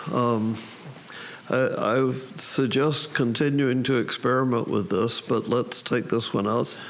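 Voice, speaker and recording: A man with an American accent speaks at a fairly slow pace with a medium pitch, ordinary pitch variation and very even loudness, over noticeable background noise. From US South. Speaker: photography contest judge. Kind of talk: critique of photographs. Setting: camera club meeting. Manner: halting, repeats words.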